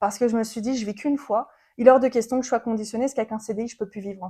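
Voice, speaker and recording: At a very fast pace, a woman with a high voice and a dark, mellow tone keeps her intonation fairly even. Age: 20s. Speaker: podcast guest. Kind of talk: interview, personal story.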